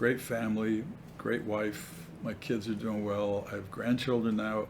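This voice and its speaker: A man speaks at a fairly slow pace with an American accent and fairly even intonation, and audible room echo surrounds him. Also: fairly low pitch for a man. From New York area. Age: 70s. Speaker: mayor. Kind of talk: interview.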